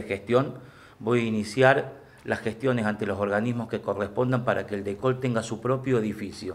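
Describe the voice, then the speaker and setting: The delivery moves at a fairly quick pace. Its intonation is monotone and flat. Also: man. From Argentina, Córdoba province. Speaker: local political candidate; candidate. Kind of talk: press conference announcement. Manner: formal; halting with fillers. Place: meeting room. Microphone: podium.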